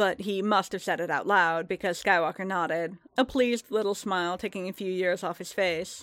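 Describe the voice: The clip is plain reading aloud. Words are read out one after another.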